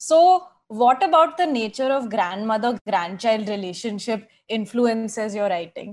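In a normal speaking voice, the speaker goes at a fairly slow pace with lively intonation. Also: woman, fairly high pitch for a woman. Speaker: podcast host and editor. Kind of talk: interview.

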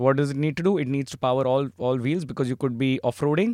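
A normal speaking voice from a man, fairly high in pitch with ordinary pitch variation and a fairly quick pace, dry and close with no echo on a very clean recording with a silent background. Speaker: app founder and CEO, co-host guest. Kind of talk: casual conversational chat.

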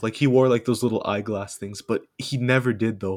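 In a very clean recording with a silent background, a man talks at a fairly quick pace, his medium pitch showing ordinary variation. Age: young. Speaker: student, podcast guest. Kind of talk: casual chat. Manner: halting.

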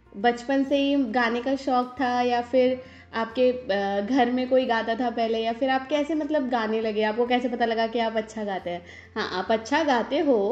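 A woman with a high pitch sounds playful, keeping her intonation fairly even. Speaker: talk show host, voice-over artist and novelist. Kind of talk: casual interview chat. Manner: chatty, playful.

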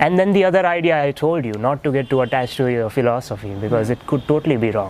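Lively intonation carries a very fast pace over noticeable background noise. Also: man. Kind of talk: casual interview chat.

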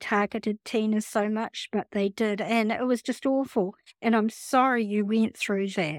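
A woman with a New Zealand accent, fairly high in pitch, fairly slow and fairly even in intonation, in a dry, close sound with no echo and a very clean recording with a silent background. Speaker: podcast host. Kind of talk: interview.

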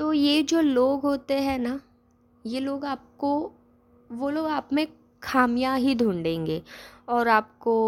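Ordinary pitch variation broken by long, frequent pauses. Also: woman, high pitch for a woman. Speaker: podcast host. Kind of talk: casual monologue. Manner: hesitant, many pauses.

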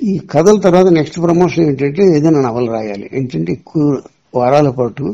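A man's fairly high voice, dark and mellow in tone, with lively intonation. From Andhra Pradesh, Visakhapatnam district. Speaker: novelist and film writer. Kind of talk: interview.

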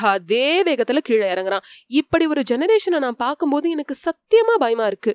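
Her voice high and swinging very widely in pitch, a woman is heard in a dry, close recording with no echo. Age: 30s. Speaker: audiobook narrator. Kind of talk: tribute speech. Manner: formal.

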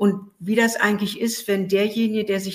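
The woman's voice sits at a medium pitch. She keeps her intonation fairly even. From Berlin, Germany. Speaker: author and journalist. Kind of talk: interview.

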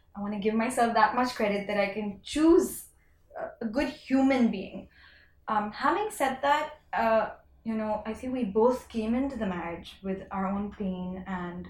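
Somewhat breathy, a woman talks at a moderate pace in a fairly high pitch. Her pitch varies in an ordinary way. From India. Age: 30s. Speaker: fashion entrepreneur. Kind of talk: casual interview chat.

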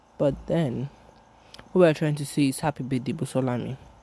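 A woman with a Yoruba accent speaks in a dark, mellow tone. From Nigeria. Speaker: podcaster. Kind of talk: casual solo monologue. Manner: casual, rambling.

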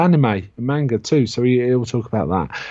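This man speaks with a British accent in a dark, mellow tone and ordinary pitch variation. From UK. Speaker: horror podcast co-host. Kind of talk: casual chat about comics.

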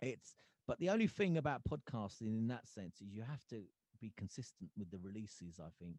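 A man with a dark, mellow tone talks at a medium pitch and moderate pace, with big swings in loudness. The sound is dry and close with no echo, over a quiet background. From England, Gravesend, Kent. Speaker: podcast host and musician. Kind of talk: casual interview. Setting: podcast recording.

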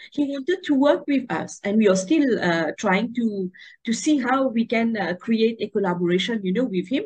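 Fairly quick and lively in intonation, a woman speaks in a fairly high voice. Her voice is somewhat breathy. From Mauritius. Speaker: tourism professor, association vice president. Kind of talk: interview. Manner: hesitant with fillers.

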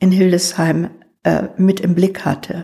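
Somewhat breathy and dark, mellow in tone, a woman's medium-pitched voice moves at a very slow pace. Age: 70s. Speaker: retired school principal. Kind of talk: life-story interview.

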